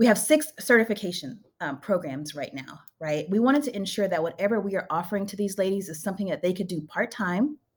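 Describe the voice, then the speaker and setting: Somewhat breathy, a woman talks at a very fast pace in a medium pitch with lively intonation. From Louisiana. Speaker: nonprofit program director. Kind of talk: interview.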